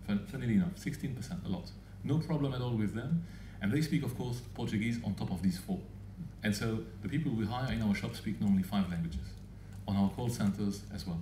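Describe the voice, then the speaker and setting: In a Luxembourgish accent, a man with a fairly low voice speaks very fast with lively intonation and audible room echo. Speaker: telecom business speaker. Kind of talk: Q&A answer; conference presentation. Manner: halting, with frequent repetitions.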